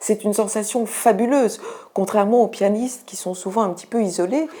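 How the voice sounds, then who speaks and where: Her voice sits at a medium pitch with a dark, mellow tone, and the woman's pitch varies in an ordinary way. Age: 60s. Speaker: student cellist giving a testimonial. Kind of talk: testimony. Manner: hesitant with frequent fillers.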